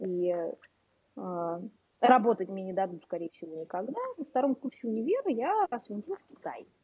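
A woman speaks with a dark, mellow tone. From Moscow, Russia. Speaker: English teacher and blogger. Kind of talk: casual chat.

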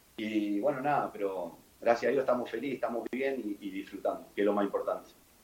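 With noticeable background noise behind him, a man speaks at a medium pitch. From Argentina. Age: 30s. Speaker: football player. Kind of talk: casual interview. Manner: halting, repetitive.

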